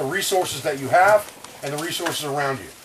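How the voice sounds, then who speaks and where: A man's very fast speech with fairly even intonation over noticeable background noise. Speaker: survival instructor. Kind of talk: lecture.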